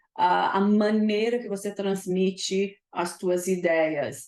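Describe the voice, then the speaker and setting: A woman's medium-pitched voice with a non-native accent and fairly even intonation. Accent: foreign accent in Portuguese. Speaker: leadership mentor and consultant. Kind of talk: live webinar talk. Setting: live stream on Zoom and YouTube. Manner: hesitant, many fillers.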